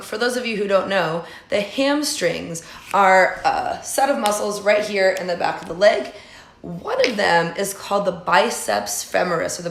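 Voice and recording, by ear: A raspy, put-on character voice moves at a moderate pace. Clear background noise runs underneath. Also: woman, medium pitch for a woman.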